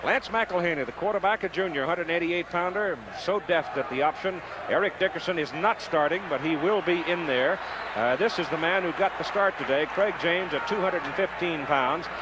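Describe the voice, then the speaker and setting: Over loud background noise, a man speaks at a moderate pace with ordinary pitch variation, the sound itself dry with no echo. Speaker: play-by-play announcer. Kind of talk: sports commentary.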